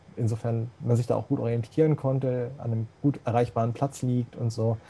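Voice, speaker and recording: This man has a medium pitch and a dark, mellow, somewhat breathy tone. He keeps a moderate pace with fairly even intonation. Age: 40s. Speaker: accessibility expert, blind since birth. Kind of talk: interview.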